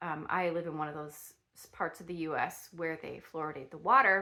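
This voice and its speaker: The woman's tone is bright and sharp. She talks at a moderate pace. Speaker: lifestyle YouTuber, product reviewer. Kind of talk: casual product review vlog. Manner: halting, many fillers and restarts; slightly slurred speech.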